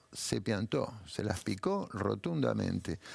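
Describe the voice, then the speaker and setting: Here a man is speaking. His pace is fairly slow. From Buenos Aires, Argentina (Mataderos). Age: 70s. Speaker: writer. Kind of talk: interview. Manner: animated.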